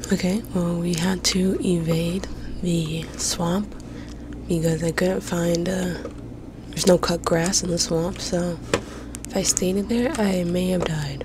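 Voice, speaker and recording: Whispering at a fairly slow pace, with long, frequent pauses, noticeable background noise and a dry sound with no echo. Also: woman. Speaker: ASMR gaming creator. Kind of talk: ASMR gaming commentary. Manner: whispered. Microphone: studio mic.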